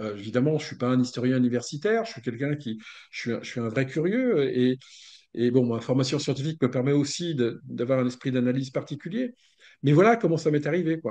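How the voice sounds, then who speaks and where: The speech moves at a fairly quick pace with a dark, mellow tone, ordinary pitch variation and big swings in loudness. The background is quiet. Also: man, medium pitch for a man. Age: 60s. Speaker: author and researcher of esoteric history. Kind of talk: interview. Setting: video call. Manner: hesitant, many fillers and repetitions.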